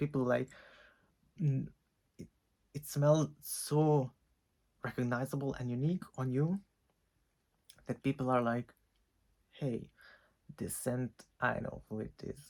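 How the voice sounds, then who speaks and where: On a very clean recording with a silent background, a man with a non-native accent speaks at a fairly slow pace with ordinary pitch variation. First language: not English. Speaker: fragrance reviewer. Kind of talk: casual talk to camera.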